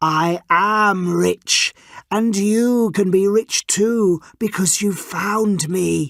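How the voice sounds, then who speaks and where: A put-on character voice, female-sounding and middle-pitched, delivered at a very slow pace. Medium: read story.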